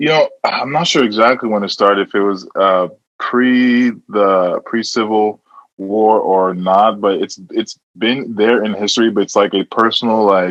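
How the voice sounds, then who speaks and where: It is an ordinary speaking voice at a fairly slow pace, with ordinary pitch variation. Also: man, fairly low pitch for a man. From US (Nebraska / California), born in Nigeria. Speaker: musician. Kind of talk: casual chat.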